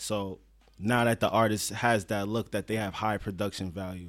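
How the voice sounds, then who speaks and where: This man has a normal speaking voice, fairly low in pitch, with fairly even intonation. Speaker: cinematographer and photographer. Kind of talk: casual podcast conversation. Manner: casual, slangy.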